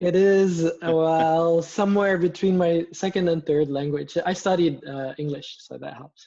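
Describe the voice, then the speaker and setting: In a Flemish accent, a man with a high pitch and a dark, mellow tone talks at a fairly slow pace with hardly any pauses. His intonation is fairly even, but his loudness swings widely. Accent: Flemish Belgian. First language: Dutch. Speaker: blockchain communications lead. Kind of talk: casual interview chat.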